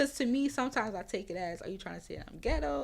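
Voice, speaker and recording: Talking at a very fast pace, a woman speaks in a New Orleans accent. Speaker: author and mental health advocate. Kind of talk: interview answer.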